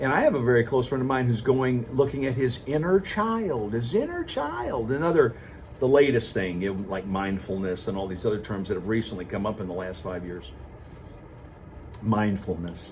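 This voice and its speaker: Lively intonation marks this man's medium-pitched voice at a moderate pace. Noticeable background noise and audible room echo surround him. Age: 60s. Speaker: vlogger. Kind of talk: casual monologue.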